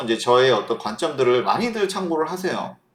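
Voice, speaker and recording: Loud and animated in tone, a man with a fairly high pitch makes very wide pitch swings. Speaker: stock market analyst. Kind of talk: market commentary monologue.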